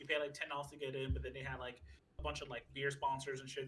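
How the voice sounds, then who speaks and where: A man talks in a New York accent at a very fast pace. His voice is fairly high. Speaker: podcast co-host. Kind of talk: casual chat.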